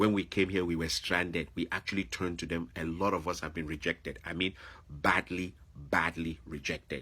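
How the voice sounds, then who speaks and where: A man's very deep, low voice, animated and bright with a sharp edge, at a moderate pace on a very clean recording with a silent background. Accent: Nigerian. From Nigeria. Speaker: vlogger, former teacher. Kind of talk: opinion monologue.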